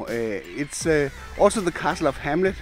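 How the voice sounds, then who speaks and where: A man speaks with lively intonation while music plays in the background. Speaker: drone vlogger. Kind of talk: vlog narration. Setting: outdoors. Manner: hesitant, many fillers.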